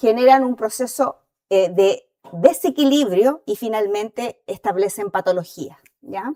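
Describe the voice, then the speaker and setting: A woman with a Chilean accent, dark and mellow in tone, at a fairly slow pace, in a dry, close sound with no echo. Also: fairly high pitch for a woman, lively intonation. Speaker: dentist and associate professor. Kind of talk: lecture. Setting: auditorium with audience.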